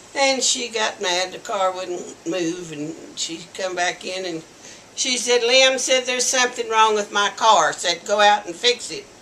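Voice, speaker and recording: Over noticeable background noise, a woman with an American accent talks at a fairly slow pace and medium pitch, with ordinary pitch variation. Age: 70s. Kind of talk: interview answer. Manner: slow, hesitant.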